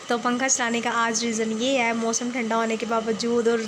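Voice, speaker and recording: Audible room echo surrounds a woman's voice. Her pitch is fairly high and her intonation monotone and flat. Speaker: novel reader and writer. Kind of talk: reading aloud. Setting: closed room at home.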